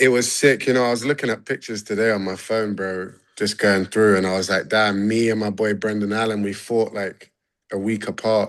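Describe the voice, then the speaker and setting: Speaking fairly quickly in a London accent, a man has a fairly low pitch. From London, England. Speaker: MMA fighter. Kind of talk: casual interview. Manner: animated.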